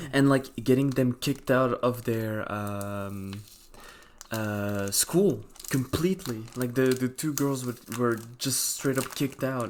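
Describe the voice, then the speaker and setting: A man talks at a very slow pace with a non-native accent. His pitch sits in the medium range for a man, with ordinary pitch variation. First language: not English. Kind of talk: casual chat.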